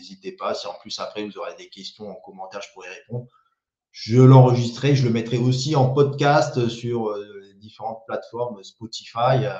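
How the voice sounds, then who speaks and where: His tone is dark and mellow, somewhat breathy, with fairly even intonation. This man's loudness swings widely. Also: medium pitch for a man, moderate pace. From French Riviera, Saint-Laurent-du-Var. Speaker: YouTuber and small business owner. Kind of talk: live stream monologue. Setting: live video stream. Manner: hesitant, many repetitions and fillers.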